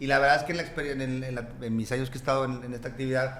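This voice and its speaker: A man with a Mexican accent speaks very fast at a medium pitch in a monotone, flat way, with audible room echo and noticeable background noise. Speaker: notary. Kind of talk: casual chat.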